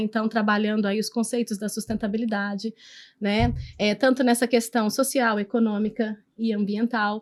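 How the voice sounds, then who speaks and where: A woman with a plain, everyday voice speaks at a moderate pace in a fairly high pitch, her intonation fairly even against a quiet background. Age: 40s. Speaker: podcast host, company founder. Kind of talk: interview podcast.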